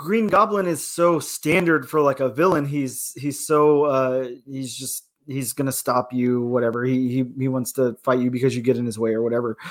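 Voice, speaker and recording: Talking at a moderate pace with hardly any pauses, a man has a plain, everyday voice, a medium pitch and ordinary pitch variation. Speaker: podcast co-host. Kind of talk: casual chat. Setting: studio.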